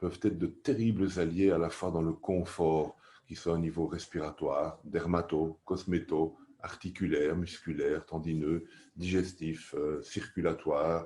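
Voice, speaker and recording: A man speaks fairly slowly against a quiet background. His pitch is very deep and low, with a dark, mellow tone. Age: 60s. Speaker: aromatherapy teacher. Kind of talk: course presentation.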